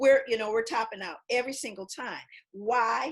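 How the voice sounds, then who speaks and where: A woman with an American accent speaks at a moderate pace in a plain, everyday voice, fairly high in pitch, against a quiet background. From US West Coast, Los Angeles (South Central). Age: 60s. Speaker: author and panelist. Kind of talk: panel discussion. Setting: video call.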